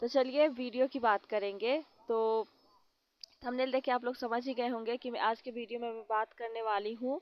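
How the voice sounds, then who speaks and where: A woman talks in a high pitch with monotone, flat intonation. Her pace is moderate. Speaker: vlogger. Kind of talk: casual commentary vlog.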